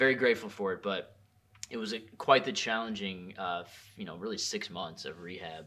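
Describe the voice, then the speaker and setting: This man talks at a fairly quick pace with a fairly low pitch, ordinary pitch variation, a bright, sharp tone and big swings in loudness. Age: 30s. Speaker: cannabis consultant. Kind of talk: casual interview conversation.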